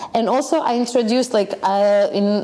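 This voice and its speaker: With lively intonation and a moderate pace, a woman talks through noticeable background noise. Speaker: yoga teacher and dancer. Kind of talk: casual chat. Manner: animated.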